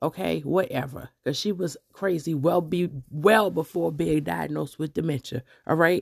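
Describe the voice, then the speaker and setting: Her voice is very deep and low, with vocal fry. The woman sounds animated on a very clean recording with a silent background. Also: ordinary pitch variation, moderate pace. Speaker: podcast host and hairdresser. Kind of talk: opinion monologue. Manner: loud.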